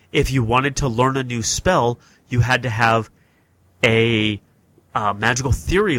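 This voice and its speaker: With an American accent and an unremarkable speaking voice, a man talks at a moderate pace and medium pitch with ordinary pitch variation. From US North. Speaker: podcast host. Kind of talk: casual chat. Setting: podcast recording.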